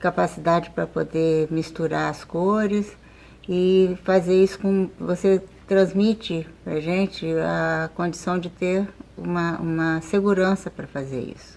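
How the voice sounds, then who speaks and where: A woman speaks at a very slow pace with a fairly low pitch. Her intonation stays fairly even. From Rio de Janeiro, Brazil. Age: 70s. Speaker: course student. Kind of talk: testimony. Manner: halting.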